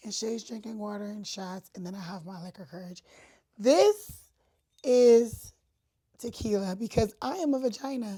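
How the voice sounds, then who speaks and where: Speaking at a moderate pace, a woman with a fairly high pitch and a dark, mellow, somewhat breathy tone uses ordinary pitch variation, big swings in loudness and long, frequent pauses. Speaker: podcast host. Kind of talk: casual chat. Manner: talkative.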